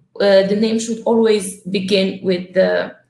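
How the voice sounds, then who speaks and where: The speech moves at a fairly slow pace with fairly even intonation, and room echo is audible. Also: woman. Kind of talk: lecture. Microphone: webcam.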